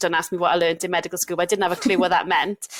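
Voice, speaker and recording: A woman speaks with a slight Welsh accent. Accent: Welsh, mild. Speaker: doctor, GP trainee. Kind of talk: casual chat. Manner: animated.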